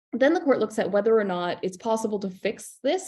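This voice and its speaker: A woman's dark, mellow voice at a very fast pace. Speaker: criminal defence lawyer, panelist. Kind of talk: legal panel presentation. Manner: casual, animated.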